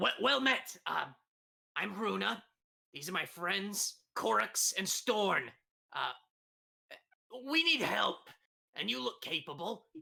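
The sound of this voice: A raspy put-on character voice at a middle pitch moves at a fairly slow pace, broken by long, frequent pauses.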